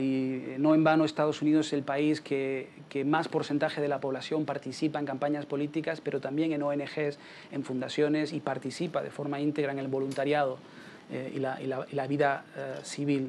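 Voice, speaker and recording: Noticeable background noise sits behind a man with a fairly high pitch. He talks at a fairly quick pace with monotone, flat intonation. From Canary Islands, Spain. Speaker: political campaign strategist. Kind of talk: Q&A after a talk.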